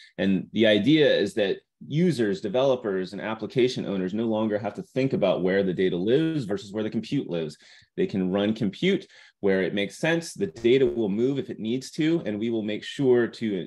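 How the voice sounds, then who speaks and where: The speaker talks at a fairly quick pace with lively intonation. The background is quiet. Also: man, medium pitch for a man. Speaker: tech company engineer presenting product. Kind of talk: webinar product presentation. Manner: fast.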